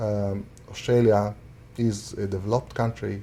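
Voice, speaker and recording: With an Arabic accent, a man speaks very slowly in a somewhat breathy voice of fairly low pitch and a dark, mellow tone. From Syria. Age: 30s. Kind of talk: interview answer.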